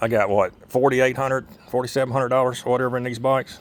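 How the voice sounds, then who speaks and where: This man talks at a medium pitch. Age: 60s. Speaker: motorcycle enthusiast vlogger. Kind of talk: casual how-to video. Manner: halting, many fillers.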